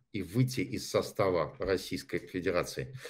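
Against a quiet background, a man talks in a fairly low pitch. His intonation is lively. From Saint Petersburg, Russia. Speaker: pro-Russian passerby. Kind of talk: heated debate. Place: home room. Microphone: studio mic.

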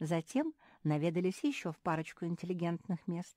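On a very clean recording with a silent background, a woman with a dark, mellow, fairly low voice speaks at a moderate pace, the sound dry and close with no echo. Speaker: audiobook narrator. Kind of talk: reading aloud.

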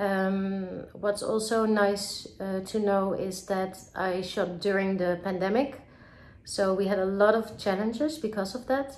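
A woman with a Dutch accent at a fairly slow pace, with ordinary pitch variation. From Netherlands, Amsterdam. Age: 30s. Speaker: film director. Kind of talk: recorded video message to festival audience. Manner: halting, many filler words. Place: home room. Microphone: phone near.

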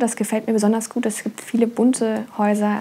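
This woman's fairly high voice stays monotone, with flat intonation throughout. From Germany, Trier (Rhineland-Palatinate). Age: 20s. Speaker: apprentice violin maker. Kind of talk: interview testimony and craft explanation. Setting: workshop. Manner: hesitant with fillers. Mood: friendly, calm.

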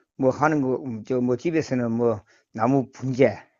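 A man's voice at medium pitch. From South Gyeongsang, Korea. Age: 60s. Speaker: food company worker. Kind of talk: casual interview. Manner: halting.

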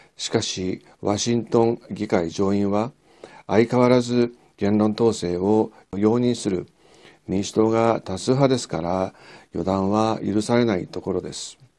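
Over a quiet background, a dark, mellow tone comes through at a fairly slow pace with fairly even intonation. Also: man, fairly low pitch for a man. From Japan. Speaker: historian and political commentator; political commentator. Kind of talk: scripted commentary monologue; commentary. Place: studio. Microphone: lapel.

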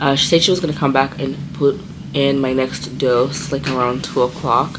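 Against noticeable background noise, a woman with a very deep, low pitch speaks at a moderate pace. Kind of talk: casual vlog chat. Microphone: phone near.

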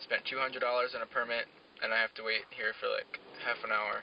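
Light background noise sits under a dry sound with no echo. A man talks at a moderate pace. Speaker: student vlogger. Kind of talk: casual vlog chat. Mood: mildly annoyed, relaxed. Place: car.

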